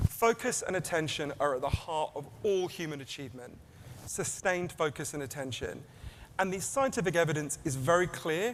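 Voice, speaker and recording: The man's voice is fairly high, with lively intonation. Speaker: author and keynote speaker. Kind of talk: keynote talk. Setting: stage with audience. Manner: fast.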